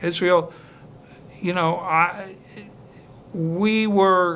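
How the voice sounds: Here a man speaks at a very slow pace with a high pitch. His tone is fairly bright and his intonation fairly even.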